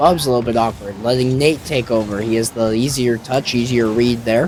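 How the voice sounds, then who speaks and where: Over music in the background, a man with an American accent speaks in an animated tone at a medium pitch and a moderate pace. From United States. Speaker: esports caster. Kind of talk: live commentary.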